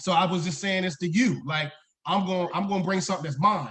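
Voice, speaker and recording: Animated in tone, a man with an American accent talks at a fairly quick pace in a high voice. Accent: Southern-tinged accent, getting thicker. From Maryland Eastern Shore (Pocomoke City). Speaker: high school principal. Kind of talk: casual interview chat.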